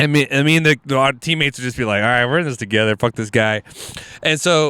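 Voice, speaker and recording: Speaking very fast with an American accent, a man keeps a medium pitch and ordinary pitch variation. The sound is dry and close, with no echo. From Houston, Texas (Alief). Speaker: comedian. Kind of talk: casual chat. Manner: animated.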